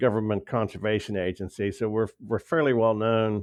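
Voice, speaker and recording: Here a man talks in an American accent at a medium pitch. His pace is moderate. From Pennsylvania. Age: 60s. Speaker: author, conservation worker. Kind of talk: interview. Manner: halting, with repeated words.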